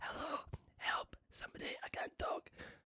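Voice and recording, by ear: Hoarse, gravelly and raspy, this put-on character voice moves at a moderate pace.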